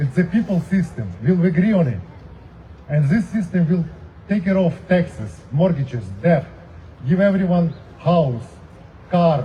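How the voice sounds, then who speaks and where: Someone speaks with a non-native accent at a fairly slow pace. Long, frequent pauses break up the speech. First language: not English. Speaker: protest speaker. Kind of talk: rally speech.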